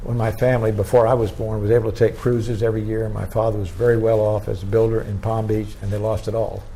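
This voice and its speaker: A man with an American accent talks very fast, with hardly any pauses, at a fairly low pitch. His intonation is flat and monotone, and audible room echo fills the space. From Florida. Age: 90s. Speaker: retired politician. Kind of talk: oral history interview. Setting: museum.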